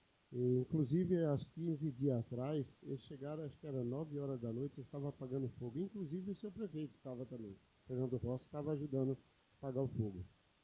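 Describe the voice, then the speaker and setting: A man talks very fast in a fairly high, somewhat breathy voice. His tone is dark and mellow, with ordinary pitch variation. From São Paulo state, Brazil (interior). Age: 50s. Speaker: city councillor. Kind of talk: council session speech.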